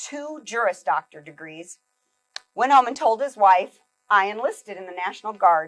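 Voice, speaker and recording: A woman speaks at a moderate pace with lively intonation in a normal speaking voice. The sound is dry and close, with no echo. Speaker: keynote speaker. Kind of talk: keynote talk.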